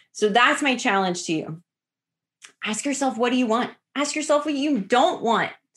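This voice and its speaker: A woman with a fairly high pitch speaks at a moderate pace with lively intonation. The recording is very clean, with a silent background. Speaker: podcast host and life coach. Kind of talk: solo motivational podcast monologue. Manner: conversational, direct address.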